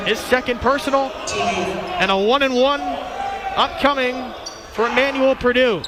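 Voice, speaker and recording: A man speaks at a fairly slow pace with an extremely high pitch, lively intonation and very even loudness, over noticeable background noise. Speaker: radio sports play-by-play announcer. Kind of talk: live basketball play-by-play commentary.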